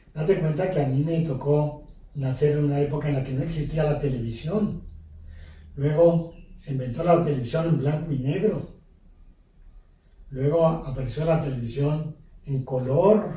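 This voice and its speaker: A man talks at a fairly slow pace with a fairly high pitch, a dark, mellow tone and a somewhat breathy quality. His intonation is fairly even, and audible room echo is present. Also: long, frequent pauses. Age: 70s. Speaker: priest. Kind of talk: interview. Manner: hesitant, with fillers.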